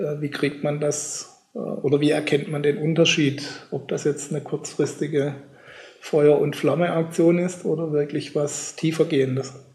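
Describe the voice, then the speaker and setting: Noticeable background noise sits behind the speech. A man talks in a fairly high pitch with monotone, flat intonation. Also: moderate pace. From Germany. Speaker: podcast host. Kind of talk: interview.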